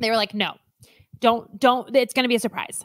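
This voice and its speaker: Bright, sharp and animated, a woman with an American accent speaks in a fairly high voice, the sound dry and close with no echo on a very clean recording with a silent background. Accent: Midwestern accent when nervous. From Alaska. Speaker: podcast co-host. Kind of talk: casual chat.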